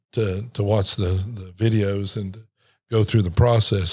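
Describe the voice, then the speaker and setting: In a very clean recording with a silent background, a man speaks in a somewhat breathy, fairly low voice with ordinary pitch variation. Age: 60s. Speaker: pastor. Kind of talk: casual chat. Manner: halting, many repeated words.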